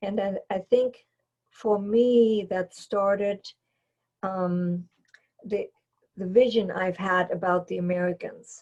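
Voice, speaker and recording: A woman with a German accent speaks at a medium pitch at a very slow pace, her voice somewhat breathy. Her intonation stays fairly even, and she takes long, frequent pauses. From Germany, East Berlin. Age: 70s. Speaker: airlift witness. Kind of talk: testimony. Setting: video recording. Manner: halting.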